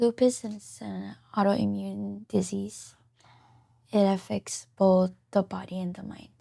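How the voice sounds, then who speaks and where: A woman with a Micronesian accent, at a very slow pace, with big swings in loudness. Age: 20s. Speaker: patient. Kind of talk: interview. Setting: studio. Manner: soft-spoken; hesitant.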